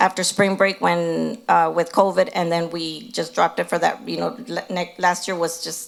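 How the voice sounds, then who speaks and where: A woman with an American accent speaks at fairly low pitch with vocal fry. The recording is very clean, with a silent background. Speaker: school district administrator. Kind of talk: board meeting presentation. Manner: fast.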